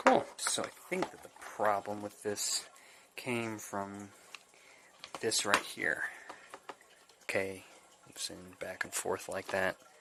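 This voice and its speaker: A man at a fairly slow pace with long, frequent pauses, over noticeable background noise. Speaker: DIY hobbyist. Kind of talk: casual DIY repair video talk to camera. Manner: whispered.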